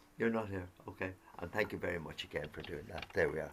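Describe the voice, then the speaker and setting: This man speaks with an Irish accent and a touch of vocal fry. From Ireland. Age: 80s+. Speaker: singer and show host. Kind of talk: casual chat. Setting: video call.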